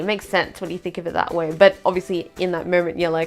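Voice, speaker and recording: Someone speaks with an Australian accent as music plays in the background. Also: woman. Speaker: vlogger. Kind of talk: casual talk to camera.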